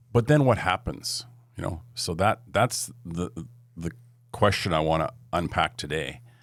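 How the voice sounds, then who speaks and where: Vocal fry marks this man's very deep, low voice, delivered at a fairly slow pace in a Canadian accent with very wide pitch swings. The recording is very clean, with a silent background. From western Canada (Edmonton, Alberta). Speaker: entrepreneur and investor. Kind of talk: podcast interview.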